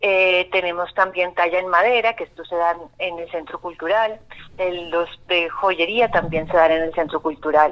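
A woman speaks in a plain, everyday voice at a moderate pace, her fairly low pitch carried on fairly even intonation. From Colombia, not Antioquia. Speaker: arts course coordinator. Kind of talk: radio interview.

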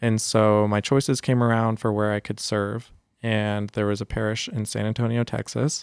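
An ordinary speaking voice, this man's is fairly low in pitch, with an American accent, fairly even intonation and a moderate pace, heard in a dry, close sound with no echo. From San Jose, California. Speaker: Jesuit volunteer and youth ministry guest. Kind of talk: casual podcast interview.

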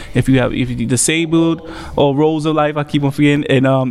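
Through noticeable background noise, a man with a New York accent speaks at a fairly quick pace in a fairly high pitch. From New York, Staten Island. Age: 20s. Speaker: comedian and podcast host. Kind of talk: casual chat. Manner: animated.

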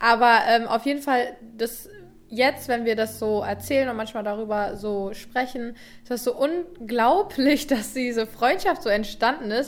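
In a plain, everyday voice, a woman speaks fairly slowly at a fairly high pitch with ordinary pitch variation. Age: 20s. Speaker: YouTuber and podcast co-host. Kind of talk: casual chat.

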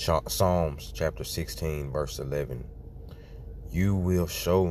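A man talks in a very deep, low voice. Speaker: person praying. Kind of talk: fervent spoken prayer with scripture reading. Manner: fervent, pleading, repetitive, emphatic; rhythmic, punctuated by praise exclamations.

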